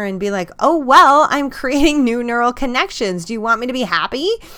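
A woman speaks in a high, bright and sharp voice, raised and projected, with an animated, enthusiastic tone and very wide pitch swings. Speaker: podcast host and coach. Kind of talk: interview, podcast host.

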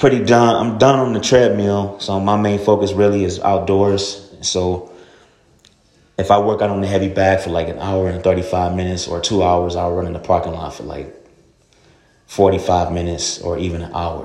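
With audible room echo, a man of very deep, low pitch speaks at a moderate pace with fairly even intonation and big swings in loudness. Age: 30s. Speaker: fitness podcaster. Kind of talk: casual monologue. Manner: halting, many fillers.

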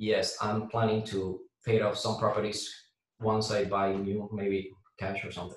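A man's somewhat breathy voice in a Puerto Rican accent, with monotone, flat intonation. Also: fairly low pitch for a man, moderate pace. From Puerto Rico. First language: Spanish. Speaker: air traffic controller and real estate investor. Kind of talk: casual interview.

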